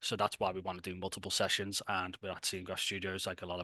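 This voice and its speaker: With a Liverpool accent, a man talks at a very fast pace in a very deep, low pitch and a bright, sharp tone. The sound is dry and close, with no echo. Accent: Scouse. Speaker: tech company founder presenting a hackathon. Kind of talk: online presentation. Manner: casual, filler-heavy.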